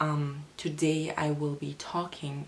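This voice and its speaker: Noticeable background noise sits behind a woman with a very deep, low voice. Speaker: spirituality youtuber. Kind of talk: casual talk to camera.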